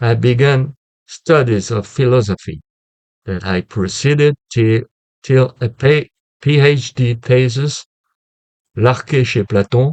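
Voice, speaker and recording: A man with a French accent at a very slow pace with long, frequent pauses, in a dry, close sound with no echo. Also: medium pitch for a man, ordinary pitch variation. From France. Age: 70s. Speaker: retired philosophy teacher. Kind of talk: lecture. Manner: halting; formal.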